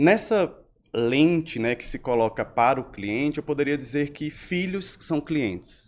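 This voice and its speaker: Recorded very cleanly against a silent background, a man speaks at a fairly slow pace. His pitch sits fairly high. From Brazil, Northeast (João Pessoa, Paraíba). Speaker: customer experience specialist. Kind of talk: podcast interview.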